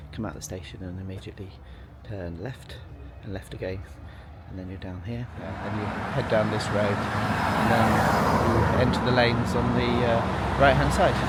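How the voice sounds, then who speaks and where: A man speaks at a moderate pace with a very deep, low pitch, lively intonation, and big swings in loudness. Audible room echo and noticeable background noise surround him. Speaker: travel vlogger. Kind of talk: walking vlog narration. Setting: outdoors, walking streets. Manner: hesitant, many fillers; soft-spoken.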